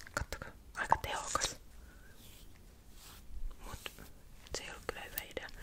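Whispering at a moderate pace, a woman leaves long, frequent pauses and makes big swings in loudness. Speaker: ASMR creator / vlogger. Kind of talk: casual talk to camera. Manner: chatty, casual. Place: home room. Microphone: studio mic.

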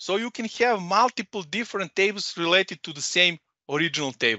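With a Serbian accent, a man speaks at a fairly quick pace in a high voice, the sound dry with no echo against a quiet background. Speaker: data consultant and trainer; trainer. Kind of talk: presentation. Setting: video call. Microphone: headset.

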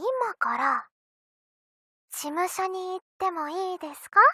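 In a put-on character voice, a woman sounds cheerful at an extremely high pitch. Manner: cheerful, sweet request.

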